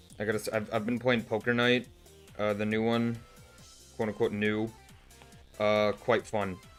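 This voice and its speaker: A man speaks at a fairly low pitch in a monotone, flat delivery with long, frequent pauses, music playing in the background. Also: moderate pace. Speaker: artist. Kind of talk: casual livestream talk while drawing.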